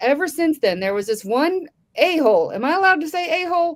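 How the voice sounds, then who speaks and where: The voice moves at a very fast pace with very wide pitch swings. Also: woman. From California. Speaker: comedian. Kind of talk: stand-up. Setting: live online show.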